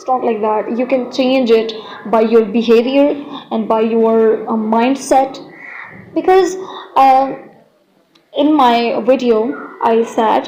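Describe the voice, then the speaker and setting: The speaker has a non-native accent and talks very slowly. Pitch varies in an ordinary way. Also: woman. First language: not English. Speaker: Islamic content creator. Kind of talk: video monologue. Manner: halting.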